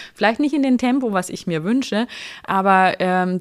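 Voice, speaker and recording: A woman with a normal speaking voice and medium pitch talks at a moderate pace in a very clean recording with a silent background. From rural Germany. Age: 30s. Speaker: online marketplace managing director. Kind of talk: podcast interview.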